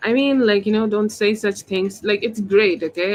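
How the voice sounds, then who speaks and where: A woman with a Bengali accent speaks at a medium pitch with fairly even intonation. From India, West Bengal. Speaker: tarot reader. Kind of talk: live-stream tarot reading; casual chat. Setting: live stream.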